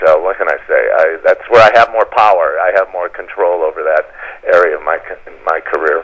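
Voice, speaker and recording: A man talks at a moderate pace. Behind him is noticeable background noise. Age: 60s. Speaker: actor. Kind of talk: interview.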